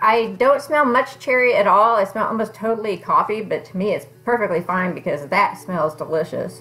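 Faint music plays in the background. A woman speaks in a fairly high pitch. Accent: American. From Kansas. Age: 40s. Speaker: beauty vlogger. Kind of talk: casual product review. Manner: conversational. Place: home room. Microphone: phone near.

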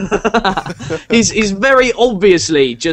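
The reading voice sounds natural, its intonation lively.

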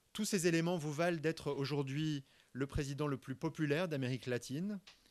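Moderate pacing from a man with a fairly high pitch and ordinary pitch variation. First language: French (speaking Spanish). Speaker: university director; guest. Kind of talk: formal welcome speech. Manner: formal. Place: hall. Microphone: podium.

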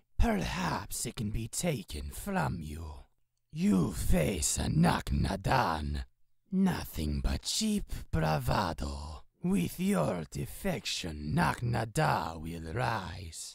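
A put-on character voice, very deep and low in pitch, speaks at a very slow pace. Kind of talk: video game character voice.

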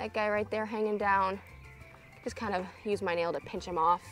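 Faint music plays in the background as a woman speaks at a fairly quick pace, with a dry sound and no echo. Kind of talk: casual tutorial vlog chat. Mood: relaxed, cheerful. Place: garden.

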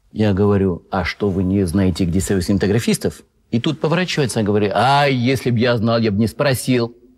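A man speaks at a fairly quick pace in a fairly low pitch, with ordinary pitch variation and very even loudness. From France. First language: French (speaking Russian). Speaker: film festival correspondent. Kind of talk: talk show interview. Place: studio.

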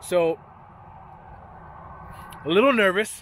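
A man speaks with lively intonation. The sound is dry with no echo, and there is light background noise. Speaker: cyclist vlogger. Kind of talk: casual vlog chat. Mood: nervous but upbeat. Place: open country. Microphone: phone near.

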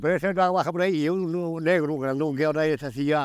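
A man speaks fairly quickly, his pitch varying in an ordinary way, with quiet all around. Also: dry sound with no echo. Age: 70s. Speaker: villager. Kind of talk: interview. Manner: repetitive, halting. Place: open country. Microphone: lapel.

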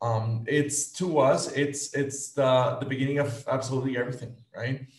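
At a moderate pace, the speech has fairly even intonation, with audible room echo over a quiet background. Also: man. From Guatemala. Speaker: nonprofit executive director, reproductive health; panelist. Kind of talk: panel presentation. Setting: video call. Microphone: video call.

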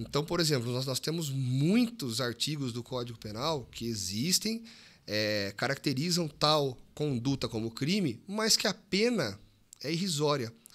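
A man speaks at a fairly slow pace. His fairly high voice swings very widely in pitch. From Brazil, Piracicaba (São Paulo interior); São Paulo, Brazil. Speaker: police officer; podcast guest. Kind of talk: casual interview chat. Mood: serious, explanatory. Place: studio. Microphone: studio mic.

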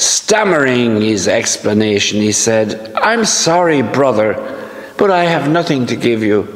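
A man's pitch swings very widely while he keeps to a fairly slow pace. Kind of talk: homily and scripture reading. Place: church. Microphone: camera far.

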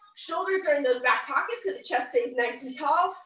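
A woman's raised, projected voice carries a bright, sharp tone amid audible room echo. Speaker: fitness instructor. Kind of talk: workout instruction. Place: gym. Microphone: video call.

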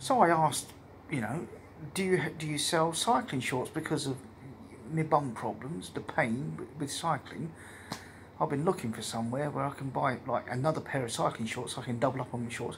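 Light background noise can be heard. Over it, a man talks with ordinary pitch variation. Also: moderate pace. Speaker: cycling traveller vlogger. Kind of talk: casual vlog chat. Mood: relaxed, pleased. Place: home room. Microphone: phone near.

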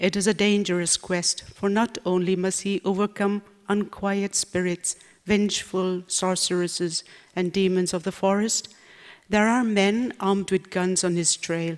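A woman talks at a fairly slow pace in a monotone, flat intonation with very even loudness. The background is quiet. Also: medium pitch for a woman. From Nagaland, India. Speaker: novelist. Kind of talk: reading aloud. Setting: stage with audience. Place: hall. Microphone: podium.

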